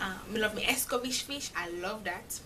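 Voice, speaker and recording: Speaking with a Jamaican accent and ordinary pitch variation, a woman is heard over noticeable background noise. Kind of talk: casual talk to camera.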